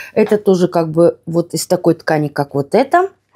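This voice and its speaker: Over a quiet background, a woman talks fairly slowly in a dark, mellow tone. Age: 50s. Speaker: lifestyle vlogger. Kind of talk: casual vlog talk. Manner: animated. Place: home room. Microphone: phone near.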